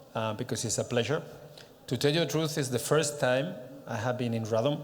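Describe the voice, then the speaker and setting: Speaking in a Catalan accent at a fairly quick pace, a man uses a medium pitch with ordinary pitch variation, and audible room echo surrounds him. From Catalonia, Spain (Barcelona area). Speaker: director of a regional organization. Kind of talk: conference presentation. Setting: stage with audience at a congress. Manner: halting, with many fillers.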